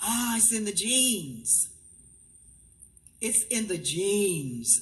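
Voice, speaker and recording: A woman with an American accent, medium pitch, a somewhat breathy voice and very wide pitch swings, at a very slow pace. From Miami, Florida, US. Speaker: school board member, former principal. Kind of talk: ceremonial presentation speech. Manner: animated.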